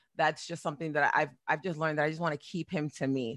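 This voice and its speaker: In a very clean, dry, close recording with a silent background and no echo, a woman with a very deep, low pitch speaks very fast in a bright, sharp, energetic and animated tone. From New Jersey, Perth Amboy. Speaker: voice actress and radio personality. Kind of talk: casual interview. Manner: energetic, animated.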